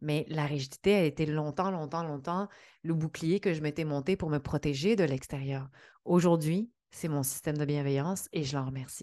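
Over a quiet background, a woman with a Quebec accent speaks in a very deep, low pitch and a dark, mellow tone with ordinary pitch variation. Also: moderate pace. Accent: Québécois French. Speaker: podcast host, entrepreneurship coach. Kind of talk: solo podcast monologue.

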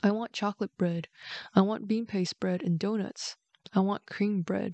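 A woman speaks at a moderate pace in a plain, everyday voice. Her intonation stays fairly even. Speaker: bedtime story host. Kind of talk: bedtime story reading, scripted narration.

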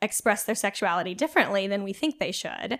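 A woman's fairly high-pitched voice with a West Coast US accent. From Oregon, US Pacific Northwest (rural, near Eugene). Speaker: nonprofit communications coordinator. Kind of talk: casual interview on faith.

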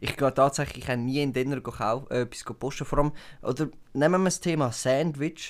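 A man speaks at a fairly quick pace in a fairly high pitch, his tone animated, with a Swiss accent. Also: very clean recording, silent background. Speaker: podcast co-host. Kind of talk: casual chat.

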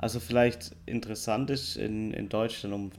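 Speaking very slowly, a man has a fairly low pitch. He has a slight southern German accent. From southern Germany. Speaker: podcast co-host. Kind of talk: casual chat. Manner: deliberately slower and clearer.

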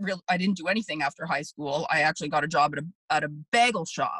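A woman with a Canadian accent, bright and sharp in tone, at a moderate pace with ordinary pitch variation, in a dry, close sound with no echo. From Canada (Markham, Ontario). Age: 40s. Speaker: food media host. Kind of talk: casual interview. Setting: video call.

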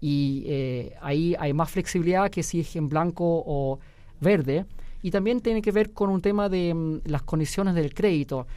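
Over a very clean recording with a silent background, a man with a high pitch and a dark, mellow tone speaks at a fairly slow pace with ordinary pitch variation. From Germany. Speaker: real estate company director. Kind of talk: radio interview. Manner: hesitant, many fillers.

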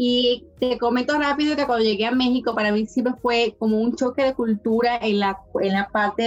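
A fairly high-pitched woman at a moderate pace with fairly even intonation, music in the background. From Dominican Republic. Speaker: university staff member and entrepreneur. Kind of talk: interview. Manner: halting, with repeated words.

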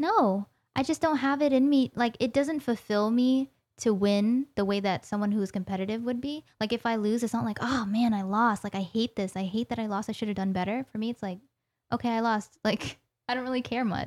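In a very clean recording with a silent background and a dry, close sound with no echo, a woman has an unremarkable speaking voice, fairly high in pitch with ordinary pitch variation. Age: 20s. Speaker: podcast guest. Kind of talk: casual chat. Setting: studio.

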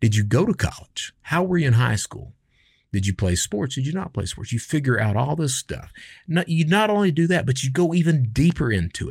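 In a very clean recording with a silent background and a dry, close sound with no echo, a man with an American accent talks at a fairly quick pace in a fairly high, somewhat breathy voice that makes very wide pitch swings. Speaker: podcast host and former cybercriminal. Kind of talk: casual monologue. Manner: animated.

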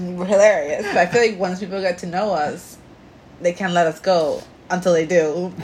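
A woman speaks with a Puerto Rican accent at a medium pitch. There is noticeable background noise. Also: moderate pace. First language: Spanish. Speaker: podcast co-host. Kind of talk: casual chat. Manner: animated.

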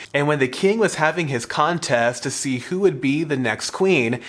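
Amid noticeable background noise, a man with a fairly high pitch talks at a moderate pace, his pitch varying in an ordinary way. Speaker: youth pastor and podcast host. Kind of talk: Bible teaching podcast, with scripture read aloud. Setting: studio podcast recording. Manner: formal, measured reading of scripture in a steady cadence; explanatory, earnest.

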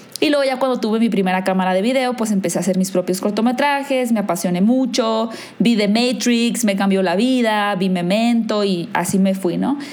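A woman's fairly high-pitched, fairly quick speech with ordinary pitch variation and very even loudness, in audible room echo with noticeable background noise. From northern Mexico, Hermosillo. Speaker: film YouTuber and content creator. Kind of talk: casual chat.

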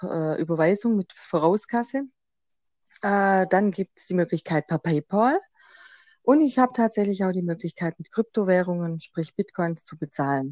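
In a Swabian accent, a woman talks at a moderate pace in a medium pitch with a dark, mellow tone and ordinary pitch variation. The sound is dry and close with no echo over a quiet background, with big swings in loudness. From Swabia, Germany. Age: 30s. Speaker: tarot card reader. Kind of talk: interview.

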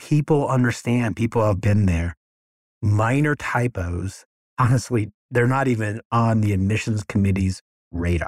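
A fairly low, somewhat breathy male voice with ordinary pitch variation, a moderate pace and very even loudness, in a very clean recording with a silent background and a dry, close sound with no echo. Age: 50s. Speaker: law school admissions consultant. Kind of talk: solo podcast monologue. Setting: office. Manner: unscripted, conversational.

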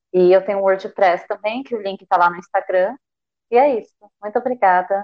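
A woman speaks with a normal speaking voice at a medium pitch. Her intonation is fairly even and her pace fairly quick. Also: big swings in loudness. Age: 20s. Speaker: social sciences student. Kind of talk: live stream discussion.

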